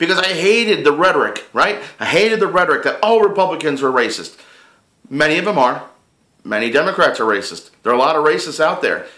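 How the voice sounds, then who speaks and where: In a room with audible echo, a man speaks at a very fast pace with a high pitch and lively intonation. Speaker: political vlogger. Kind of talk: casual chat. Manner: animated.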